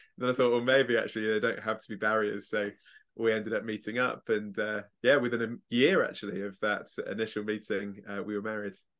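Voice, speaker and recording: Over a quiet background, a man with an English accent speaks fairly quickly in a fairly low, monotone, flat voice. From England. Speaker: evangelist and speaker. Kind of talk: interview.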